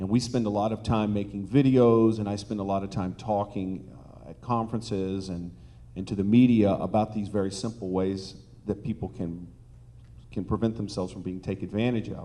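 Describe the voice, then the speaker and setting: The voice has a dark, mellow tone and fairly even intonation at a fairly quick pace. Audible room echo surrounds it. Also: man, fairly low pitch for a man. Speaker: online dating company executive. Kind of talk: conference panel talk.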